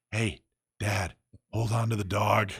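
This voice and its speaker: A man whispers in a put-on character voice. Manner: urgent whisper-yell.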